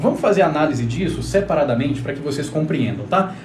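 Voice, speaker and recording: Audible room echo and noticeable background noise surround a man speaking at a fairly high pitch with ordinary pitch variation. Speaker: relationship therapist. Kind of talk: live stream talk. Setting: live stream. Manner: fast.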